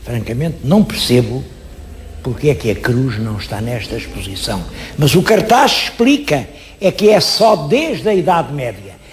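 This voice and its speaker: A man's voice with very wide pitch swings, against noticeable background noise. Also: medium pitch for a man. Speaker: historian and TV presenter. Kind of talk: TV history presentation. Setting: on location at an exhibition. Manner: expressive, emphatic.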